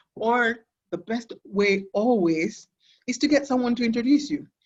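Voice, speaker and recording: A woman at a moderate pace with lively intonation. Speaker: sports business executive. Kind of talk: interview. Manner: loud.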